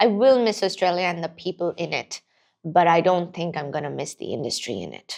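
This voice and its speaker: A woman with a fairly low pitch talks at a fairly quick pace with vocal fry. Her pitch variation is ordinary, but her loudness swings widely. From Pakistan. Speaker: performer, writer and activist. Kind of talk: podcast interview answer.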